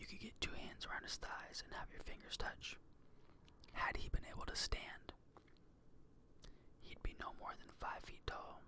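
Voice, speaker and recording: At a moderate pace, the whispering is broken up by long, frequent pauses. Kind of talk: audiobook-style reading. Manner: whispered, soft-spoken.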